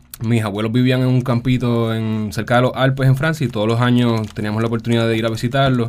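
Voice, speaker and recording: A man with a medium pitch speaks at a very fast pace, with hardly any pauses, in a monotone, flat way. Noticeable background noise runs under his voice. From Puerto Rico, San Juan. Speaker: agroecologist. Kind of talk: radio interview.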